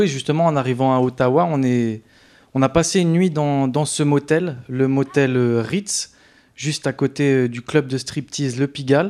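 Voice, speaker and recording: A man speaks at a moderate pace with a fairly high pitch and ordinary pitch variation, recorded very cleanly against a silent background. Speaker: documentary maker. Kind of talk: casual interview. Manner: halting.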